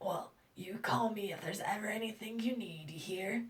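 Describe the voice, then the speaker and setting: Using a put-on character voice, a woman speaks at a moderate pace in a raspy tone. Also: medium pitch for a woman, ordinary pitch variation. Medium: read story. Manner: polite, modest.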